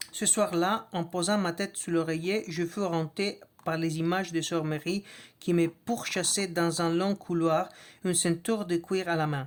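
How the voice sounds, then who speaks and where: The woman speaks slowly, at a fairly slow pace, with a non-native accent. Her pitch is fairly low and her intonation fairly even. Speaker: reader of a book. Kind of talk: reading aloud. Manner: halting, with restarts and hesitations.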